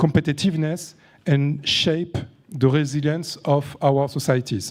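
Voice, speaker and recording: A man with a French accent speaks in a fairly high pitch at a moderate pace with fairly even intonation. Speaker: panel moderator, entrepreneur and author. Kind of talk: moderating a conference panel. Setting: conference stage with audience. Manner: halting, many fillers.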